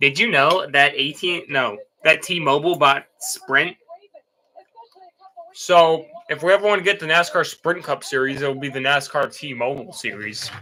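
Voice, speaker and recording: Using a put-on character voice, a man speaks raspily at a moderate pace with a fairly high pitch. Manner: eating, mouth full.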